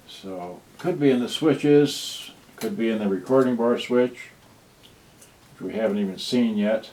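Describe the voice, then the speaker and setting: A soft-spoken man talks at medium pitch and a fairly slow pace. His intonation is lively, with long, frequent pauses. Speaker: electronics repair hobbyist streamer. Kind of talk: live repair stream. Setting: home livestream. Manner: halting.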